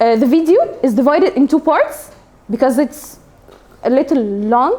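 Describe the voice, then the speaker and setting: A woman talks with high pitch and lively intonation at very even loudness. There is noticeable background noise. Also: moderate pace. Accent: Arabic. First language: Arabic. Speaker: English teacher. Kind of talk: classroom lesson. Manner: halting, many fillers.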